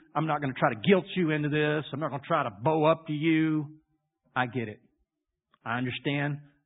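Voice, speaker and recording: This man has a Louisiana accent. His voice sits fairly high for a man. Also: long, frequent pauses, big swings in loudness. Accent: Louisiana Southern US. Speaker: pastor. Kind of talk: sermon.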